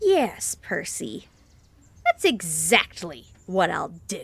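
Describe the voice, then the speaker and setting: A female-sounding put-on character voice sits at a medium pitch. It moves at a very slow pace. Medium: audio drama. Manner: tired, then indignant.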